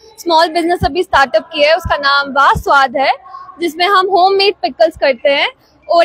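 A woman with an extremely high pitch talks at a fairly slow pace with fairly even intonation, the sound dry with no echo and the background quiet. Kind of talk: interview answer. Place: street. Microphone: handheld.

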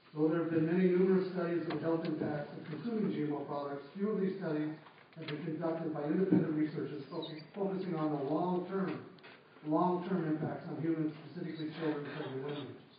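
A man at a fairly quick pace, intonation fairly flat, with heavy room echo and faint background noise. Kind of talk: formal testimony. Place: hall. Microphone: camera far.

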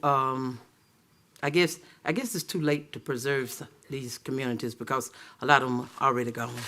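A man with an Alabama accent speaks with fairly even intonation at a fairly high pitch. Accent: Southern US (Alabama). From Auburn, Alabama, US South. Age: 60s. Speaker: city council member. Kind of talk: council meeting remarks. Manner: halting.

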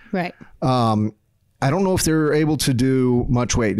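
A man with lively intonation speaks at a fairly slow pace. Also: quiet background. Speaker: podcast co-host. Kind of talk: podcast discussion. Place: studio. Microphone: studio mic.

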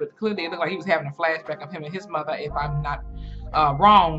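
A woman speaks at a very fast pace with clear music in the background. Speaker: reaction video host. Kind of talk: casual reaction commentary. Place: home room. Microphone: webcam.

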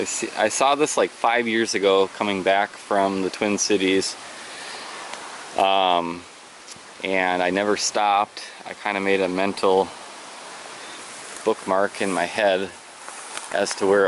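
Speaking at a very slow pace with long, frequent pauses, a man with a fairly low pitch is heard in a dry recording with no echo and light background noise. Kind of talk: casual vlog chat. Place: open country. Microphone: phone near.

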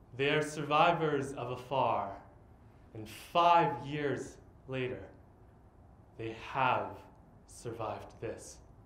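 A man talks at a very slow pace, with long, frequent pauses and big swings in loudness. His pitch varies in an ordinary way, and there is audible room echo. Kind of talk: spoken-word poetry performance. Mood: earnest, reflective. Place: stage. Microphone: camera far.

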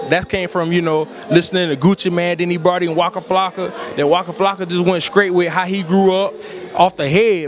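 Clear music plays behind a man who speaks at a fairly quick pace and a high pitch, the sound dry with no echo. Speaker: interviewee. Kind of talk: interview answer. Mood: relaxed, smiling. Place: hall. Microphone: handheld.

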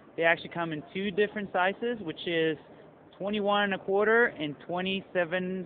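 The sound is dry with no echo, over light background noise. The speech moves at a fairly slow pace. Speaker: presenter. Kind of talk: product presentation.

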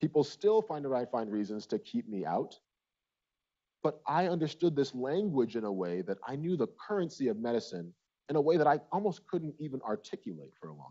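Against a quiet background, a man talks at a fairly quick pace, with very wide pitch swings and big swings in loudness. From Nigeria, raised in US Midwest from childhood. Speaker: physician and speaker. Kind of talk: conference talk. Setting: stage with audience. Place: hall. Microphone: lapel.

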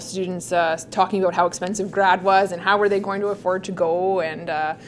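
There is light background noise. A woman speaks at a fairly quick pace. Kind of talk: interview answer. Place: office.

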